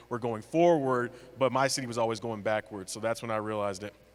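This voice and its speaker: Talking at a very fast pace, a man with an American accent keeps a fairly even intonation. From California, US. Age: 20s. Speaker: mayor, panelist. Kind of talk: panel discussion.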